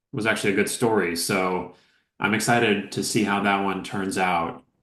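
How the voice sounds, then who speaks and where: A man talks at a moderate pace in a plain, everyday voice with a fairly low pitch and an American accent. The background is quiet. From United States. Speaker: actor and producer. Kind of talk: interview. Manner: casual.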